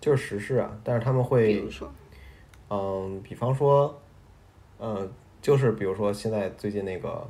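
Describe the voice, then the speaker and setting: A man speaks at a moderate pace with a fairly low pitch and a dark, mellow tone that is somewhat breathy. His pitch varies in an ordinary way, with long, frequent pauses. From Beijing, China. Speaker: podcast co-host. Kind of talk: casual chat.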